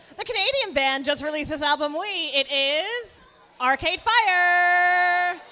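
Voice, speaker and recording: A woman speaks in a raised, projected voice at an extremely high pitch. Her intonation is lively, though her pace is fairly slow. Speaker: trivia co-host. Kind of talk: live trivia hosting at a brewery. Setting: brewery with live audience.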